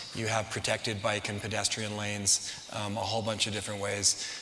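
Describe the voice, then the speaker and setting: A man talks in a fairly low pitch. Noticeable background noise is heard behind him. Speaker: real estate developer, company CEO. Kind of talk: audience Q&A at a talk. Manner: fast.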